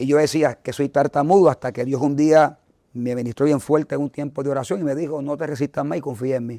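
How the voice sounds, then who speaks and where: Very fast and fairly high-pitched, a man talks in a dark, mellow tone with fairly even intonation. The sound is dry and close, with no echo. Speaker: evangelist. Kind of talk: testimony.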